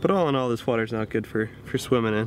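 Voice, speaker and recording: Light background noise and a dry sound with no echo. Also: man. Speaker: vlogger. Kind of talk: casual vlog chat. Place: car. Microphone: phone near.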